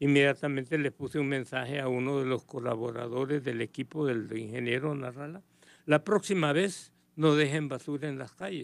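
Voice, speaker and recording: A man speaks in an ordinary speaking voice, pitched fairly high. His pace is moderate and his pitch varies an ordinary amount. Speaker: political commentator. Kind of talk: radio interview.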